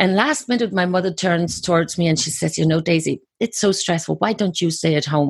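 Over a quiet background, a woman speaks at a moderate pace with hardly any pauses, her fairly low pitch showing ordinary variation, her loudness very even, and vocal fry throughout. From Germany. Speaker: author and coach. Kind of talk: interview.

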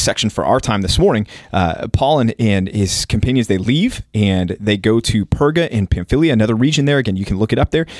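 A man with a Texas accent speaks at a fairly quick pace with hardly any pauses and very even loudness. His pitch is medium and varies in an ordinary way. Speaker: pastor. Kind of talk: Bible study discussion.

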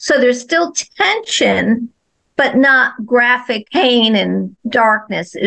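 A high-pitched woman with an American accent speaks at a very slow pace, her intonation lively and her loudness very even. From New Jersey and Florida. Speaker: children's author. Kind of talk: interview.

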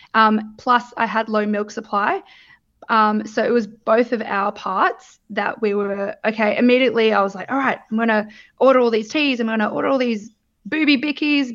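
At a moderate pace, a woman with an Australian accent speaks at a fairly high pitch with ordinary pitch variation. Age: 30s. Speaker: new mother. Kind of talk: personal testimony. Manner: hesitant, many fillers.

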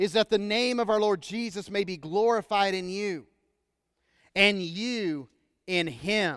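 A man with an American accent speaks in a raised, projected voice at a high pitch with ordinary variation. The recording is very clean, with a silent background and a dry, close sound with no echo. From Texas. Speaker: pastor. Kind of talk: sermon. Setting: church.

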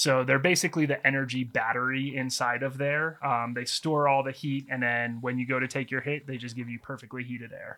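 On a very clean recording with a silent background, a man with an American accent speaks at medium pitch with monotone, flat intonation, a fairly quick pace and hardly any pauses. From US, mainly Texas (also Baltimore, New York, Taiwan). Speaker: head-shop owner, entrepreneur. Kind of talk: casual interview chat. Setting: studio, on camera.

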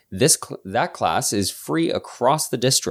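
The voice moves at a very slow pace with vocal fry and very wide pitch swings. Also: man. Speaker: podcast host. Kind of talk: casual chat.

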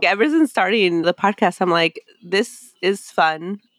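Here a woman uses a normal speaking voice at a fairly slow pace with ordinary pitch variation. The recording is very clean and the background silent. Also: dry, close sound with no echo. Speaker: podcaster. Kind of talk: casual interview chat.

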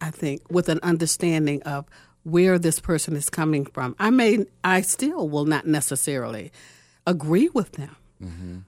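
An ordinary speaking voice at a fairly slow pace with lively intonation, on a very clean recording with a silent background. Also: woman. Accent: American. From Virginia, Tidewater (Norfolk). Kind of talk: religious radio interview. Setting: radio studio.

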